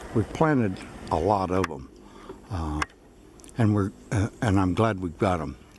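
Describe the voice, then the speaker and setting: A man's very deep, low voice in an American accent, lively in intonation and fairly slow, with noticeable background noise. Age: 70s. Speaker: farmer. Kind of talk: casual video narration. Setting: outdoors. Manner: halting, many fillers.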